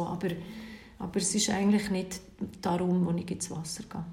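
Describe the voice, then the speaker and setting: There is audible room echo along with noticeable background noise. Through it, a woman talks. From Switzerland, Bern. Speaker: cold-water bathing instructor and coach. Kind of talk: interview.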